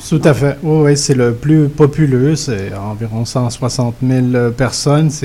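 Very slow delivery from a man at medium pitch. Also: ordinary pitch variation. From Montreal (Côte-des-Neiges). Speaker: author. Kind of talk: radio interview.

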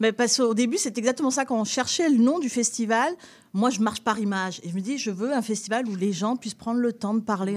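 On a very clean recording with a silent background, a woman with a plain, everyday voice speaks at a fairly high pitch with ordinary pitch variation. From southern France, near Nice. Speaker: festival founder and director. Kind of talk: radio interview.

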